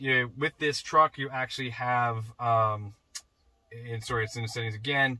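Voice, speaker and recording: A man talks at a fairly quick pace with fairly even intonation. The background is quiet. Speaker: truck owner demonstrating setup. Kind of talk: tutorial. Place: car. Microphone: camera far.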